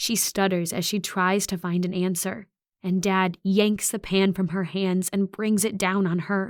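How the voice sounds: The reader uses a natural reading voice. The background stays quiet.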